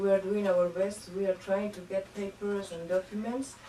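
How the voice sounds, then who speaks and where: A woman speaks with a Spanish accent. Noticeable background noise can be heard. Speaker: diplomat. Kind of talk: formal speech. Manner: halting, many fillers.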